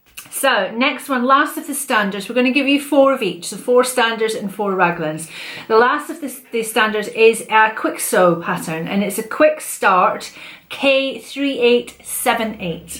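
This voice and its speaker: Fairly high in pitch, a woman with a Scottish accent speaks at a fairly slow pace with lively intonation. There is noticeable background noise. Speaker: sewing vlogger. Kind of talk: casual chat.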